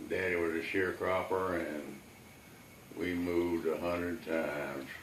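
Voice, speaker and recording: Noticeable background noise sits behind a man with a Texan accent. His pitch is very deep and low, and his pace is very slow. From Texas; Houston. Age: 90s. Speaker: Navy veteran. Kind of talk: interview answer.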